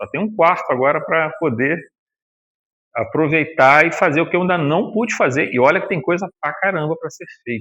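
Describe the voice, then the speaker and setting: A man speaks at a fairly high pitch with ordinary pitch variation and a bright, sharp tone. The background is quiet. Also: moderate pace. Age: 60s. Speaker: spiritist lecturer. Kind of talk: religious lecture. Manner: conversational, colloquial.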